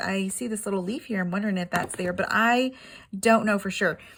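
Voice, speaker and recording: The recording is very clean with a silent background. A woman of medium pitch sounds somewhat breathy, with fairly even intonation. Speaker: crafting YouTuber. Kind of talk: product unboxing. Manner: fast; casual, halting with fillers.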